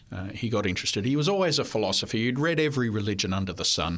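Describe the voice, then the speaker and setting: A man speaks with an Australian accent at a medium pitch. The recording is very clean, with a silent background. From Australia (New South Wales). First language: French. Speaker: history professor. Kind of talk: interview. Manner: hesitant with fillers.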